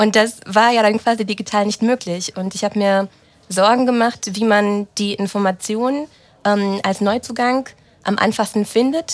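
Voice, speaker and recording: A woman with an ordinary speaking voice, fairly high pitch, fairly even intonation and moderate pace. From Germany, German-Romanian family. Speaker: team lead. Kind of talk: casual interview.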